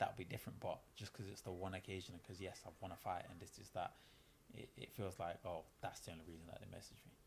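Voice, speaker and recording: With a slight Manchester accent, a man talks at a very fast pace in a very deep, low pitch, somewhat breathy, with ordinary pitch variation and big swings in loudness. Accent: picking up a slight Manchester. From East London. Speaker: professional boxer. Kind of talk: casual interview.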